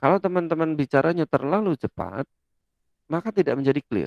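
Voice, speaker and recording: The man speaks at a fairly quick pace with lively intonation. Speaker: lecturer. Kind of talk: lecture. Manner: loud.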